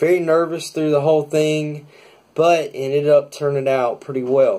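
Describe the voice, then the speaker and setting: Speaking at a moderate pace with an American accent, a man uses a fairly high pitch and a dark, mellow tone in a monotone, flat delivery. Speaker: drummer. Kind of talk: casual talk to camera, vlog.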